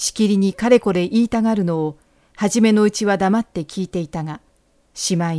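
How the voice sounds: A natural reading voice carries the words, its pitch varying in an ordinary way.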